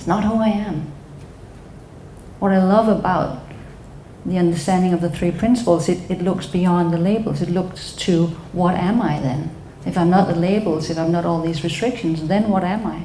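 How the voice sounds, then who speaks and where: A woman with a Danish accent and a fairly low pitch, long and frequent pauses, audible room echo and noticeable background noise. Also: ordinary pitch variation, moderate pace. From Denmark. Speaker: psychotherapist. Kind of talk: talk to an audience.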